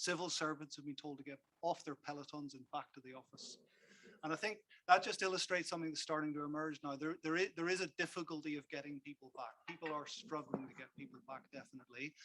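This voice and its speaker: A man with a Belfast accent talks at a very fast pace, his fairly high, bright, sharp voice keeping a fairly even intonation amid big swings in loudness. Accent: Belfast accent, kept. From Northern Ireland, Belfast. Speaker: workplace consultant. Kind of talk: conference talk. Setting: stage with audience. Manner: repetitive stammering starts.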